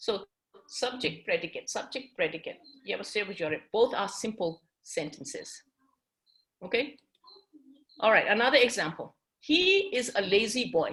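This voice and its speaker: With a Tibetan accent, the speaker moves at a moderate pace through very wide pitch swings and long, frequent pauses. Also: woman, fairly high pitch for a woman. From Tibetan community. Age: 50s. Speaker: English teacher. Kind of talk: classroom lecture. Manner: switches between English and Tibetan.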